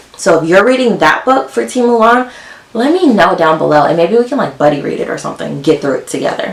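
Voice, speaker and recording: Over noticeable background noise, a woman talks at a very fast pace in a fairly low pitch, her voice swinging very widely up and down. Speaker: book youtuber. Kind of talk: casual vlog talk.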